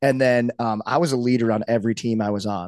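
Against a quiet background, a man with an American accent and an unremarkable speaking voice talks at a moderate pace with medium pitch and fairly even intonation, in a dry, close sound with no echo. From Saint Louis, US Midwest. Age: 30s. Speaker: retired pro hockey player and strength coach. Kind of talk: casual chat.

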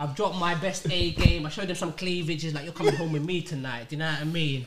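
A man's high-pitched voice with a London accent at a fairly quick pace, over noticeable background noise. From North London. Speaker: podcast host. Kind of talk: casual chat.

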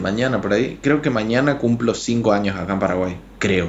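There is audible echo from the room. Through it, a man talks rather slowly. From Argentina, Chaco. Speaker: illustrator and graphic designer. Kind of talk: casual interview chat.

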